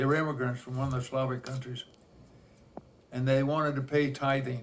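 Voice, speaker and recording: A man speaks at a fairly quick pace and a medium pitch. His intonation is monotone and flat. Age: 90s. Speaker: elderly storyteller. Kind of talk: oral history interview. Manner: halting.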